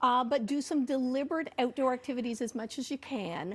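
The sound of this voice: At a fairly quick pace, a woman speaks with high pitch and ordinary pitch variation.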